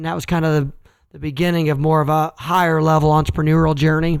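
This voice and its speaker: A man with a Midwestern US accent speaks at a very fast pace and a fairly high pitch. The recording is very clean with a silent background. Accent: rural Midwestern American. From Kansas, US Midwest. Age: 30s. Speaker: entrepreneur. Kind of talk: casual interview. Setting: recorded late at night.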